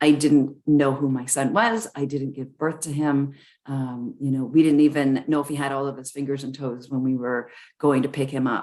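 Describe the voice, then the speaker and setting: A woman with a Canadian accent speaks at a moderate pace, her very deep, low pitch carrying a dark, mellow tone and fairly even intonation. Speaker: charity founder and motivational speaker. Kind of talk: motivational talk. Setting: video call.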